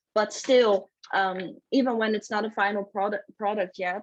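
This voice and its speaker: Her pitch medium and her intonation fairly even, a woman speaks in a dry, close sound with no echo. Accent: Dutch. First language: Dutch. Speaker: author. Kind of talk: casual chat. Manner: halting.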